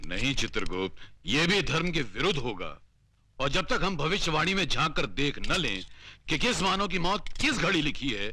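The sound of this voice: A man puts on a character voice with a fairly high pitch and a bright, sharp tone. He talks at a moderate pace with big pitch swings.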